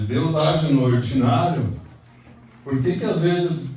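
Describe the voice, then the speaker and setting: This man's pitch varies in an ordinary way, with audible room echo and noticeable background noise around him. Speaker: pastor. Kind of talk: sermon. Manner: calm; soft-spoken.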